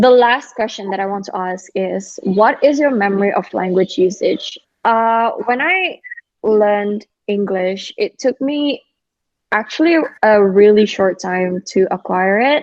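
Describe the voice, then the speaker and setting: A woman speaks at a fairly slow pace in a fairly high voice, her pitch varying in an ordinary way. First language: Indonesian. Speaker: podcast host. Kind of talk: casual chat.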